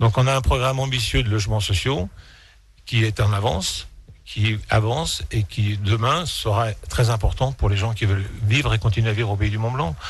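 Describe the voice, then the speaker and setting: A somewhat breathy man's voice, fairly low in pitch with ordinary variation, at a moderate pace. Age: 60s. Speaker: mayor. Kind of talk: radio interview. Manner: hesitant, many fillers.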